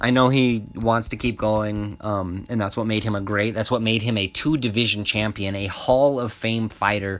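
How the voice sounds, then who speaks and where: The pace is moderate. The speaker has a Southwestern US accent. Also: man, fairly low pitch for a man. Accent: US Southwest English. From US Southwest, Albuquerque, New Mexico. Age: 20s. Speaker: MMA podcaster. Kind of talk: casual solo commentary. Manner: casual, profanity-laced.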